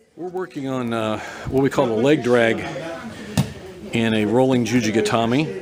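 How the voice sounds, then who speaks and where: Amid noticeable background noise and audible room echo, a man speaks at a moderate pace and medium pitch with ordinary pitch variation and long, frequent pauses. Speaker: judo coach. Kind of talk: live demonstration commentary. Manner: halting.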